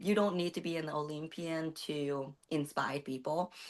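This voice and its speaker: Against a quiet background, a woman with a Vietnamese accent talks at a fairly slow pace and a fairly low pitch. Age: 30s. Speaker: bodybuilding competitor. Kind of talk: interview. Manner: halting.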